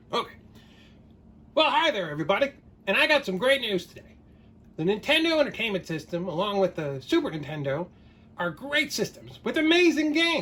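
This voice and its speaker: A cartoonish character voice, fairly high and fairly quick, with very wide pitch swings and long, frequent pauses. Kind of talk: casual talk to camera. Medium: puppet.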